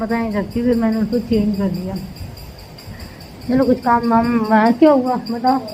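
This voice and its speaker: Music sounds in the background. A woman talks over it. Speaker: family vlogger. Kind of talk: casual vlog talk to camera. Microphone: voice may record quietly.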